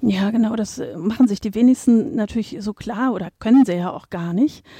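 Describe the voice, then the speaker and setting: A woman's somewhat breathy, dark, mellow voice, fairly high in pitch with ordinary pitch variation, in a dry, close sound with no echo and a quiet background. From Berlin, Germany. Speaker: museum curator. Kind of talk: interview. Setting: museum foyer.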